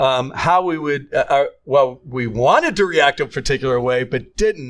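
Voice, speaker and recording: Recorded very cleanly against a silent background, a man with an unremarkable speaking voice talks at a moderate pace with a fairly high pitch and ordinary pitch variation. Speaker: podcast co-host, former coach. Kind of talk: casual chat.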